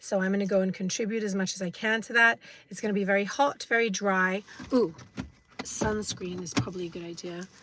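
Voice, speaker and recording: With an English accent, a woman talks at a fairly quick pace and a medium pitch. Her pitch variation is ordinary, while her loudness swings widely. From England. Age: 50s. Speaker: vlogger. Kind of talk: live stream vlog. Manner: hesitant, many fillers.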